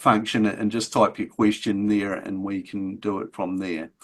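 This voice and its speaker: A man speaks at a fairly slow pace. He has a slight New Zealand accent. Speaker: agricultural extension officer. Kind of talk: webinar introduction. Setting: video call. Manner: hesitant, many fillers.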